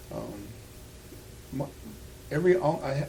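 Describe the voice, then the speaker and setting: Audible room echo around a man, with ordinary pitch variation. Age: 60s. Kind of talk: interview. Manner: halting.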